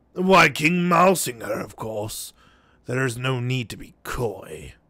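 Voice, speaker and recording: A man's raspy, put-on character voice, medium in pitch, with very wide pitch swings at a fairly slow pace. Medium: game stream. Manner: oily, smooth-talking.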